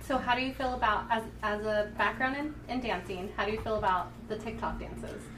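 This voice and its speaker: A woman at a fairly quick pace with hardly any pauses, music in the background. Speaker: podcast co-host. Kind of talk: casual chat. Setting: studio.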